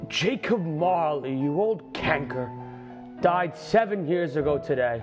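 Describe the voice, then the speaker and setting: Over clear background music, a man puts on a gravelly character voice, fairly high in pitch and fairly slow. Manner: shrewd, curt.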